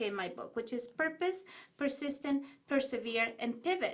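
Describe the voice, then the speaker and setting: The speaker has an Ecuadorian accent and lively intonation. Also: woman. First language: Spanish. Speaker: business owner and author. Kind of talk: interview. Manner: animated.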